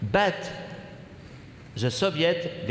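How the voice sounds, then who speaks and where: A man's fairly high voice with lively intonation at a fairly slow pace, plus audible room echo. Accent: French. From France. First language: French. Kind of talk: Q&A answers at a public symposium. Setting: gym with audience and microphones.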